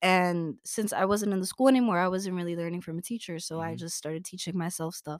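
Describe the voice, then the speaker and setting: A woman's fairly low voice at a very fast pace with hardly any pauses, big swings in loudness and ordinary pitch variation, in a very clean recording with a silent background. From New York City, Brooklyn. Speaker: college student. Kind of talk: casual chat.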